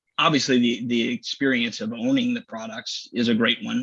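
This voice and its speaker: In a Midwestern American accent, a man at medium pitch talks at a fairly quick pace with monotone, flat intonation. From Missouri, US. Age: 40s. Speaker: business executive. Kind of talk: casual interview. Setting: live stream.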